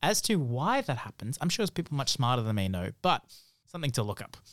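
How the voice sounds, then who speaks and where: A man talks at a fairly quick pace with lively intonation in a normal speaking voice of medium pitch. The recording is very clean, with a silent background. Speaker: podcast host. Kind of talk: casual chat.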